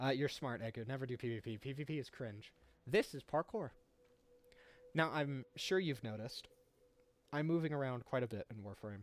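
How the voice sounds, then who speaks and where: A man's medium-pitched voice at a fairly quick pace, with ordinary pitch variation and long, frequent pauses. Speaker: gaming streamer. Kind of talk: live game tutorial stream. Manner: fast; animated.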